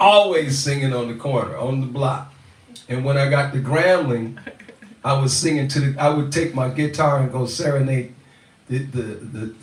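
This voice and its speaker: A man with an American accent, somewhat breathy, at a fairly high pitch with fairly even intonation, amid audible room echo. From Louisiana, US South. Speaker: musician, father in family band. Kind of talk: casual storytelling in live Q&A.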